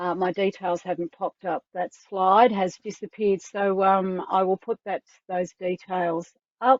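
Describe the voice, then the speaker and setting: A woman's voice with fairly even intonation and an Australian accent. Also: medium pitch for a woman, fairly slow pace. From Tasmania, Australia. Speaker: online community coordinator. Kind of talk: online information session.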